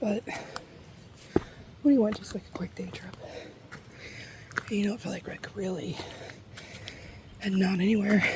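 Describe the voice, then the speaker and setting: A soft-spoken woman talks in a relaxed tone at medium pitch, with ordinary pitch variation and big swings in loudness. Her moderate pace is broken by long, frequent pauses, with noticeable background noise behind her. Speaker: ASMR creator. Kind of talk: ASMR soft talking during a nature hike. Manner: soft-spoken, relaxed.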